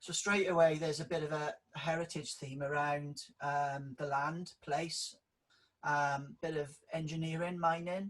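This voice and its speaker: Spoken with a strong Welsh accent, the voice moves at a fairly slow pace with fairly even intonation. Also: man, fairly high pitch for a man. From South Wales valleys, near Merthyr Tydfil. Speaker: public sector leadership director. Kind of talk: interview.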